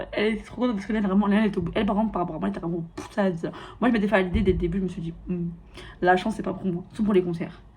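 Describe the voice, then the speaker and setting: Speaking at a very fast pace, a woman with a medium-pitched, somewhat breathy voice sounds animated, and the room echo is audible. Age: 20s. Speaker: lifestyle vlogger. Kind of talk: casual vlog monologue.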